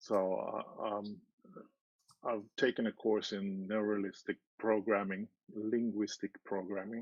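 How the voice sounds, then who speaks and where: A man with a non-native accent, fairly low pitch, flat monotone intonation, a fairly slow pace and long, frequent pauses. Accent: foreign. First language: not English. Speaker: party candidate. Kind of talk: interview. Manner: halting.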